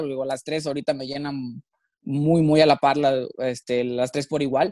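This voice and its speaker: Pitched fairly high, this man speaks at a fairly slow pace with fairly even intonation. The sound is dry and close, with no echo. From Mexico, Monterrey. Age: 20s. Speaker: professional triathlete. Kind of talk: interview. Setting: studio. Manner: halting.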